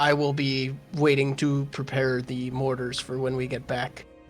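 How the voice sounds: Over clear background music, a man puts on a character voice at a medium pitch, moderate pace and monotone, flat intonation.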